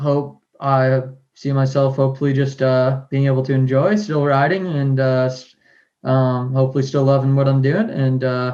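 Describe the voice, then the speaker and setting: The voice has an American accent, a dark, mellow tone, fairly even intonation and very even loudness. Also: man, medium pitch for a man, moderate pace. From Massachusetts, near Boston. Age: 20s. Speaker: scooter rider and brand owner. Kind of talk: podcast interview. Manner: halting with many fillers.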